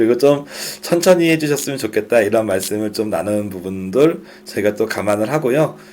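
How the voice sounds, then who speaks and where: A man with a medium-pitched voice talks at a fairly quick pace. His intonation is lively, and there is noticeable background noise. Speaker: startup funding instructor. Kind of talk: lecture.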